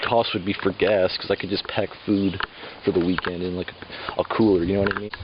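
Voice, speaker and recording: A man's fairly low-pitched voice with fairly even intonation comes through noticeable background noise. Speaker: vlogger. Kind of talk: casual vlog monologue. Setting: outdoors in a forest, walking. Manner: fast; halting.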